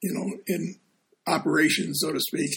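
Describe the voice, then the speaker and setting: A man is talking. His pace is fairly slow. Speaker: deacon and podcast host. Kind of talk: casual chat.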